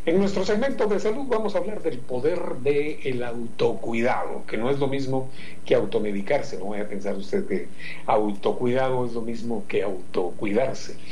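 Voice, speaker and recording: Over noticeable background noise, a man at medium pitch speaks at a moderate pace with very wide pitch swings. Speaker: radio host. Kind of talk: morning radio show. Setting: home studio. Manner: animated.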